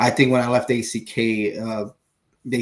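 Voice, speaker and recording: This man speaks with an American accent. His pitch sits in the medium range and his pace is fairly slow. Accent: Texan, comes out sometimes. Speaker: fishing podcast co-host. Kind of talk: casual chat. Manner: halting, many fillers.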